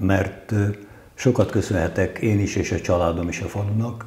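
In a room with audible echo, a man speaks fairly slowly at a fairly low pitch with ordinary pitch variation. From Solymár, Hungary; Hungary. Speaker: council candidate, engineer and economist; council candidate. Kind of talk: candidate interview. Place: home room. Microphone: lapel.

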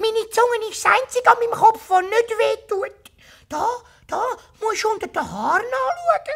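The speaker uses a put-on character voice at an extremely high pitch. The pace is moderate. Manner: whiny, playful.

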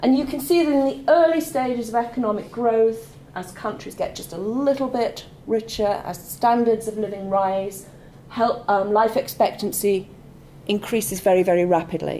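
Through light background noise, a woman with a dark, mellow tone speaks at a moderate pace in a lively intonation. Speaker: lecturer. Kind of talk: lecture. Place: classroom.

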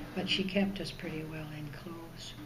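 A woman talks at a moderate pace with a fairly low pitch and fairly even intonation, with noticeable background noise behind her. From northern British Columbia, Canada. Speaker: oral history interviewee. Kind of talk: interview answer. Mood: calm, reminiscing. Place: hall. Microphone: camera far.

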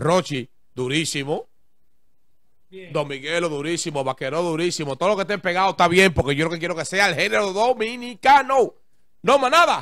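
A man talks at a moderate pace with a high pitch. His tone is bright and sharp, and his pitch swings very widely. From Dominican Republic, Santo Domingo (Guachupita); Dominican Republic. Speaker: music producer and DJ; DJ. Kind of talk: interview. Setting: barbershop. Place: studio. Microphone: handheld.

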